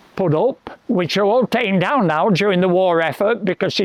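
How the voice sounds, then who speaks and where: A man with a Lancashire accent, high-pitched, fairly quick, with ordinary pitch variation. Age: 80s+. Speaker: local historian and tour guide. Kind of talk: outdoor walking tour storytelling. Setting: outdoors.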